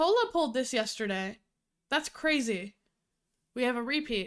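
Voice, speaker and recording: High-pitched and lively in intonation, a woman is speaking. She keeps a moderate pace. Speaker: livestreamer. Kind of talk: casual livestream chat with tarot reading.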